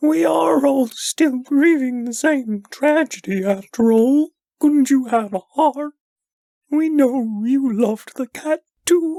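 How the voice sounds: A female-sounding voice speaks with a high pitch at a fairly slow pace. It is a put-on character voice.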